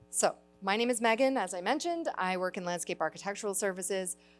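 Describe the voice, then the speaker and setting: Music plays behind a woman speaking at a fairly quick pace with a Canadian accent. Her medium pitch shows ordinary variation. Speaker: landscape architect, city staff. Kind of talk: presentation. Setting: church hall with audience. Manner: loud.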